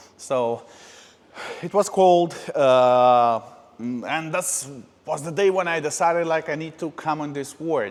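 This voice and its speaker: Fairly slow speech from a man, with normal pitch movement. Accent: Russian. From Moldova. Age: 30s. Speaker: podcast host. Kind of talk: personal life story monologue. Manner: hesitant, many filler uhs.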